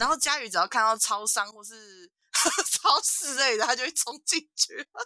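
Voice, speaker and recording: The voice is raised and projected, with big swings in loudness and lively intonation, in a Taiwanese accent. It moves at a moderate pace, and the sound is dry and close with no echo. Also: woman, high pitch for a woman. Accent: Taiwanese Mandarin. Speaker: podcast co-host. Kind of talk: casual chat. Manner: animated.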